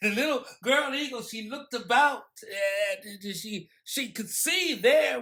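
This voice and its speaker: The voice is raised and projected. It moves at a very slow pace. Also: man. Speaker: poet and storyteller. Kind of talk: storytelling performance.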